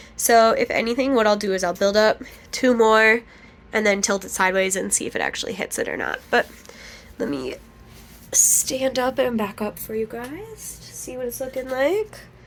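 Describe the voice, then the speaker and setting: A woman's voice with big swings in loudness amid noticeable background noise. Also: moderate pace. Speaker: crochet vlogger and small business owner. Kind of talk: casual vlog. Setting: at home.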